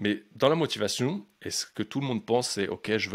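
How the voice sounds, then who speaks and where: A man speaks fairly quickly with ordinary pitch movement on a very clean recording with a silent background. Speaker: life coach and podcaster. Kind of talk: podcast monologue. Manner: fast; energetic, casual.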